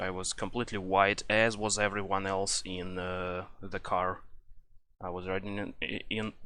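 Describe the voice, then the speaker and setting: Speaking at a fairly slow pace, a man has a very deep, low pitch and a bright, sharp tone. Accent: Russian. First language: Russian. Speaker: gaming YouTuber. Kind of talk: casual rant. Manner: halting, many fillers.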